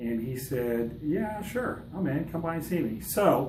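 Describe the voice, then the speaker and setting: A man speaks at a moderate pace. Audible room echo and noticeable background noise fill the recording. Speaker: fitness coach. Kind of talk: casual vlog intro. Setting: dental office.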